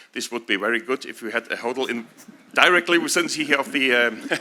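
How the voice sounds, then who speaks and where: A man with a German accent speaks in a bright, sharp tone. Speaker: town mayor. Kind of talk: ceremonial speech. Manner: halting.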